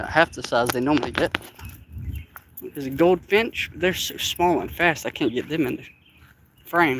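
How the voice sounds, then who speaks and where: A man with an Appalachian accent speaks at a moderate pace and a fairly high pitch, with ordinary pitch variation. His loudness swings a lot, and he takes long, frequent pauses. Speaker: vlogger. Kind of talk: live stream walking vlog. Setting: outdoors in a park. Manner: casual, chatty.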